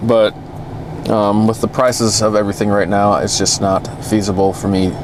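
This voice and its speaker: A man with an American accent speaks at a moderate pace and fairly low pitch amid noticeable background noise. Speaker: car vlogger. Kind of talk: casual vlog. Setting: in a car. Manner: hesitant with fillers.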